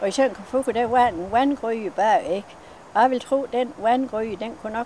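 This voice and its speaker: With noticeable background noise behind her, this woman keeps a moderate pace. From West Jutland, Denmark. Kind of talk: interview answer.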